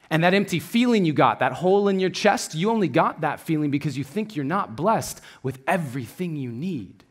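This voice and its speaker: A man speaks in an unremarkable speaking voice, fairly high in pitch, with lively intonation. His pace is fairly quick with hardly any pauses, and the recording is very clean with a silent background. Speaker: spoken word artist and motivational speaker. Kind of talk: spoken word poetry performance.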